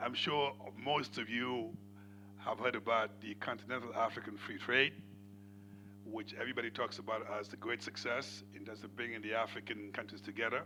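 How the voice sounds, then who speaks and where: A man talks at a moderate pace with a fairly low pitch and fairly even intonation. Music plays in the background. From Senegal. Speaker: panel moderator. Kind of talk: moderating a conference panel.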